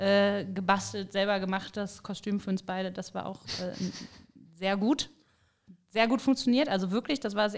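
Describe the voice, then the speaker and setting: Using a normal speaking voice, a woman talks at a medium pitch and moderate pace with ordinary pitch variation. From Rhineland, Bergisches Land. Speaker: podcast host. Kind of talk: casual chat.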